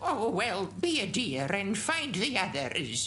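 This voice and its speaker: A woman's cartoonish character voice at medium pitch with very wide pitch swings, at a fairly slow pace over clear background noise. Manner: fussy, calls everyone dear.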